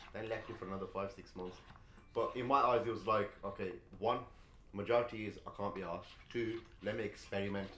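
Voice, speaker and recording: A man speaks at a very fast pace with a fairly low pitch and fairly even intonation, broken by long, frequent pauses. Audible room echo surrounds his voice. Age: 20s. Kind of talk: casual chat.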